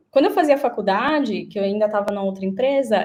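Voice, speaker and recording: Here a woman talks in a normal speaking voice. It sits fairly high, and its pitch varies in an ordinary way. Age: 20s. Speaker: career changer, former sales consultant. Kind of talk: webinar interview.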